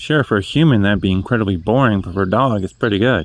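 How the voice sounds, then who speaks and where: A man with a slight New England accent. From New England, New Hampshire. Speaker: vlogger. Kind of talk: casual monologue. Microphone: cheap earbud mic.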